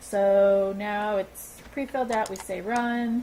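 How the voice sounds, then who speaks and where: Her voice sits at a medium pitch and is somewhat breathy. A woman speaks with fairly even intonation. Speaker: gaming video creator. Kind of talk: tutorial. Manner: halting.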